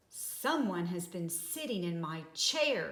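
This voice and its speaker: A woman's put-on character voice, growling and fairly low-pitched, at a fairly slow pace. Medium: read story.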